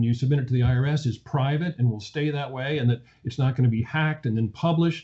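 A somewhat breathy male voice of medium pitch with fairly even intonation. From US, Virginia. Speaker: financial analyst. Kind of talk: interview.

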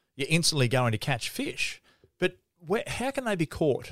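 A man with an Australian accent at a moderate pace, dry and close with no echo. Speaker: fishing podcast host. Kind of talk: casual interview.

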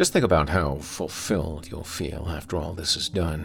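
A man speaks in a very deep, low voice with vocal fry. His tone is menacing and his pace fairly slow. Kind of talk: horror story monologue. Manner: menacing, taunting.

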